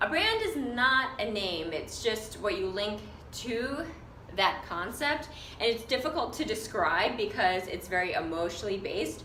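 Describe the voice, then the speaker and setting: A woman's fairly high voice with lively intonation, over noticeable background noise and audible room echo. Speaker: fashion designer and business coach. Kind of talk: casual vlog tutorial. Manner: hesitant with fillers.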